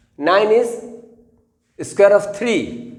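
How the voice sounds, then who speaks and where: A man with a high pitch is heard with audible room echo. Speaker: math teacher. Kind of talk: tutorial.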